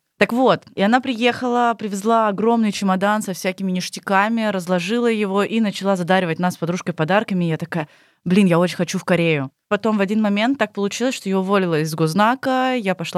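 A very fast delivery with ordinary pitch variation, dry and close with no echo, on a very clean recording over a silent background. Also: woman. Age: 20s. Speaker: former bar hostess in Asia. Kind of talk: casual chat.

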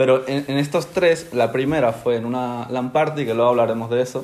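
Noticeable background noise underlies a voice whose intonation is fairly even. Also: man. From Spain (born in Ecuador, moved at age one). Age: 20s. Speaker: professional gamer. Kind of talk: interview.

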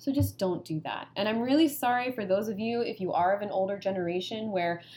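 A woman talks in an ordinary speaking voice at medium pitch. Her pace is fairly quick, with ordinary pitch variation. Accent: American. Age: 30s. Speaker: NGO knowledge management advisor. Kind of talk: casual chat.

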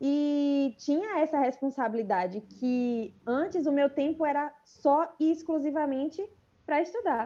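At a fairly slow pace, a woman with a high-pitched, dark, mellow tone speaks with lively intonation and very even loudness. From Bahia interior, Brazil (Riachão). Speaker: medical student. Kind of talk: interview.

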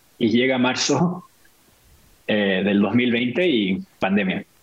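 The man's voice sits at a medium pitch and carries lively intonation. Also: long, frequent pauses. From Chile, Santiago; also raised in Venezuela, Mexico, Brazil. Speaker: tech marketing worker, photographer. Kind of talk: casual chat. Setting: video call.

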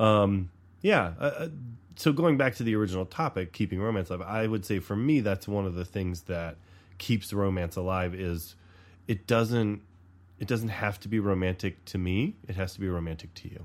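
An ordinary speaking voice from a man with an American accent, fairly low in pitch with ordinary pitch variation. He keeps a moderate pace on a very clean recording with a silent background. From US South. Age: middle-aged. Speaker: podcast co-host. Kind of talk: casual chat.

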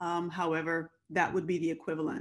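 This woman speaks with an American accent. Her pace is moderate. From US West Coast, Compton, California. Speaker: development expert and PhD candidate. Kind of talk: interview.

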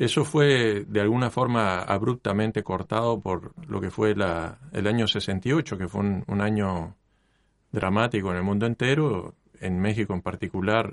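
Here is a man with a plain, everyday voice, fairly low in pitch. His pitch varies in an ordinary way over a quiet background. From Mexico, then Cuba. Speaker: university lecturer and engineer. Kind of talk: interview. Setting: radio studio.

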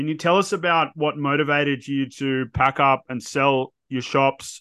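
The voice is male. His accent is Australian. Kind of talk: casual interview. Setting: remote call.

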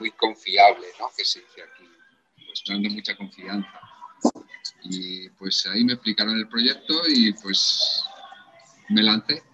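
A man talks very slowly, with long, frequent pauses. His loudness swings widely while music plays in the background. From Spain. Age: 40s. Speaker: actor. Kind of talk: casual chat.

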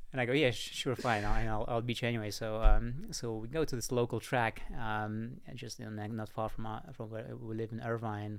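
A man speaks with a Russian accent at medium pitch and a moderate pace. His intonation is fairly even, and the recording is very clean with a silent background. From Russia (Moscow). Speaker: entrepreneur and writer. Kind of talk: casual interview. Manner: halting.

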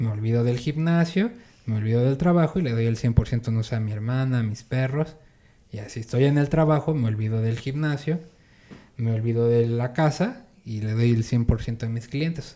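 A man speaks at medium pitch and a moderate pace, his tone dark and mellow. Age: 30s. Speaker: salesman. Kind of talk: casual interview.

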